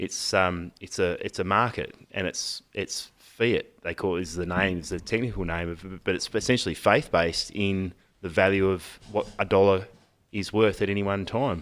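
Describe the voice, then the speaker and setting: With an Australian accent, a man speaks at a moderate pace in a very deep, low pitch with fairly even intonation, on a very clean recording with a silent background. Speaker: podcast host, electrician. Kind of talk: casual banter, political chat.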